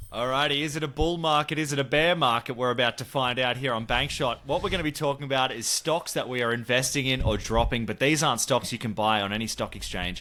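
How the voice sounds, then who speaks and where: With an Australian accent, a man speaks at a very fast pace with hardly any pauses, using a bright, sharp, animated tone, a medium pitch and ordinary pitch variation. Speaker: sports podcast host. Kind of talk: casual sports chat.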